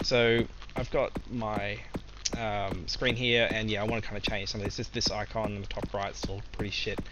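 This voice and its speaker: Moderate-paced speech from a man, set against noticeable background noise and audible room echo. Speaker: game developer streamer. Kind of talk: live coding stream. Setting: live stream. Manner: hesitant, many fillers.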